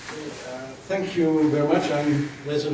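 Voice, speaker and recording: Noticeable background noise and audible room echo surround a man's voice. He talks at a moderate pace. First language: not English. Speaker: professor. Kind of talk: lecture. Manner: formal.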